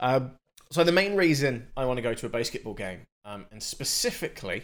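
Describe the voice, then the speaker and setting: Lively intonation from a man with a British accent. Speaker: podcast co-host. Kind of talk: casual chat.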